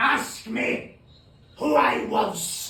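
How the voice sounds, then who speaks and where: A man performs a put-on character voice. There is a slight echo. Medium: stage play. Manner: solemn, grave.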